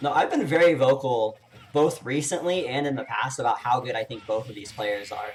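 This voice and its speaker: In an American accent, a man talks at a fairly quick pace with a medium pitch and ordinary pitch variation. His voice is somewhat breathy, with big swings in loudness. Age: 30s. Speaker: esports commentator. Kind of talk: live commentary. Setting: live stream.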